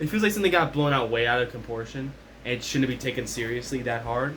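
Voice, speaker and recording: A man's voice, lively in intonation, with audible room echo and noticeable background noise. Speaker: commentary vlogger. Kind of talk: casual rant. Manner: loud.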